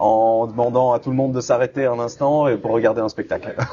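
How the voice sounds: The voice has a dark, mellow tone and moves at a fairly quick pace. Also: man.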